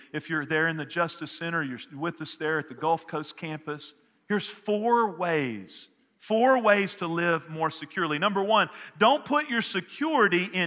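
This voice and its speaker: Lively in intonation, a man with a Texan accent speaks in a high pitch. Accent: Texan American English. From Northeast Texas. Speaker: pastor. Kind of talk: sermon. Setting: church service with congregation. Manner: animated.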